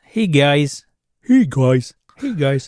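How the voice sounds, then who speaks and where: A man does a put-on character voice at a fairly high pitch. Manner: cheerful, chirpy, greeting.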